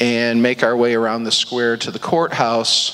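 Music in the background behind a man talking at a moderate speed. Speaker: pastor or church leader. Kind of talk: church announcements. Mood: friendly, light humor. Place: church. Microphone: handheld.

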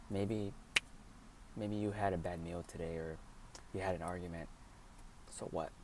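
A soft-spoken man with a dark, mellow tone at a moderate pace, in a dry sound with no echo over light background noise. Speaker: vlogger. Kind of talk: ASMR affirmation talk to camera. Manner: encouraging. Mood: warm, upbeat, encouraging. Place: car. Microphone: earbuds.

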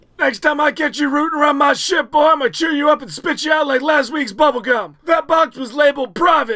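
A man talks at a fairly quick pace in a put-on character voice pitched extremely high. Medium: dub. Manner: gruff, menacing.

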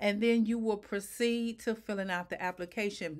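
Ordinary pitch variation and a moderate pace come through against a quiet background. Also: woman. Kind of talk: tutorial. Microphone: webcam.

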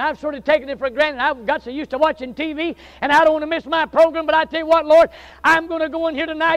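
An extremely high-pitched man with a Southern US accent, animated and passionate in tone, over a quiet background. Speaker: Baptist preacher. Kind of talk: sermon, revival-style preaching with folksy humor early on. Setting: church with live congregation. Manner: animated, passionate, fervent, building to intense pleading; conversational, joking, self-deprecating, with audience interaction. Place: church.

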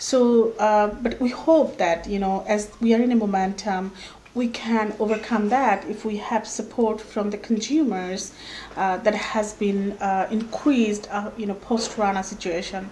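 A woman with a Bengali accent, fairly high in pitch, fairly slow, fairly even in intonation, with light background noise. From Bangladesh. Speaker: workers' rights activist. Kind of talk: interview. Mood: earnest, persuasive. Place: home room.

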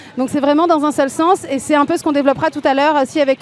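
Very fast speech from a woman, high-pitched, with fairly even intonation. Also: dry sound with no echo. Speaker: activist TV show host. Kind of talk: casual interview. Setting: outdoor street studio. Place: street. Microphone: handheld.

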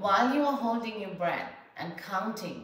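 The voice has a calm, soothing tone and lively intonation at a very slow pace. Room echo is audible. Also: woman. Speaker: health coach and podcaster. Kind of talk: guided breathing exercise demonstration; guided meditation. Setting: home video, sitting on a yoga mat. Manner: calm, slow, instructional; soothing, measured, with pauses between cues. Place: home room. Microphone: camera far.

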